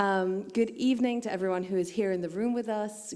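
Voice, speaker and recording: A woman at a medium pitch, with audible room echo. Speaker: humanitarian gender specialist, keynote speaker. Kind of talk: conference keynote. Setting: conference hall with audience and interpreters. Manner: deliberately slow at the start.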